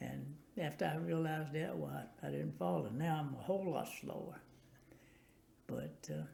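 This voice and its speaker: A man with a Tennessee accent, a medium pitch, a dark, mellow tone, and a somewhat breathy voice, very wide pitch swings at a moderate pace, long, frequent pauses, and audible room echo. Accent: US Southern, Tennessee. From Tennessee, Nashville. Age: 90s. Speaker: war veteran. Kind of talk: oral history interview. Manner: halting.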